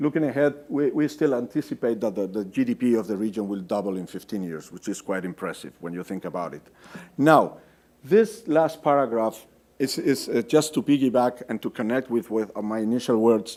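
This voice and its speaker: Spoken in a Spanish accent, the voice moves at a fairly quick pace with lively intonation. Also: man, medium pitch for a man. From Spain. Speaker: development finance officer. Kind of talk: conference presentation. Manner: hesitant, many fillers and repetitions.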